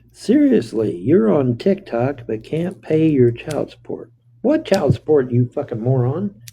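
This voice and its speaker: Speaking at a fairly slow pace, a man sounds somewhat breathy, with lively intonation. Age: 60s. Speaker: livestreamer. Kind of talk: casual live stream chat. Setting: motel room.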